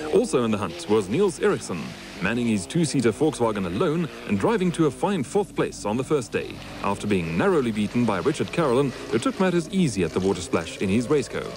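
Very fast speech with very wide pitch swings amid noticeable background noise. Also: man, medium pitch for a man. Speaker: race recap narrator. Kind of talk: 1980s motorsport TV recap narration, scripted voice-over. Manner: formal, polished broadcaster delivery; brisk, steady, upbeat, dryly witty at times.

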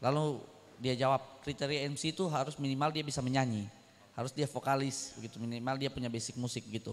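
Intonation stays fairly even for this man. He talks very fast. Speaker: workshop participant; workshop trainer. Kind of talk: audience comment. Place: church. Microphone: handheld.

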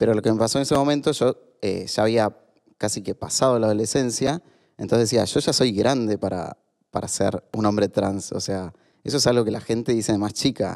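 Over a quiet background, a man talks at medium pitch and a moderate pace with ordinary pitch variation. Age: 30s. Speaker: author and LGBT activist; podcast guest. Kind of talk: casual interview. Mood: reflective, personal storytelling. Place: studio. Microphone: studio mic.

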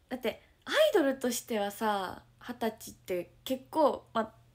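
Animated in tone, the speaker uses ordinary pitch variation in a Kansai accent. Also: woman. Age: 20s. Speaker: idol livestreamer. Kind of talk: casual livestream chat reading viewer comments. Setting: at home, morning livestream. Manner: animated, frequent laughter. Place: home room. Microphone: phone near.

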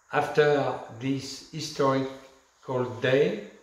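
A man talks with fairly even intonation. The room echo can be heard. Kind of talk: direct-to-camera presentation. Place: home room. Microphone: camera far.

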